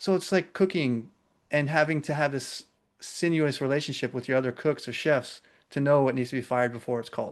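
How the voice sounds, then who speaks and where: An ordinary speaking voice, this man's is fairly high in pitch, with an American accent and ordinary pitch variation. He talks at a fairly quick pace against a quiet background. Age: 30s. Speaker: podcast host. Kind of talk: casual chat.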